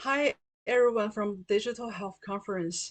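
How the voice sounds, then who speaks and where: A woman with a Chinese accent speaks at a medium pitch. Her pace is moderate and her intonation fairly even. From China. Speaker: patient partner. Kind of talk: prepared testimony.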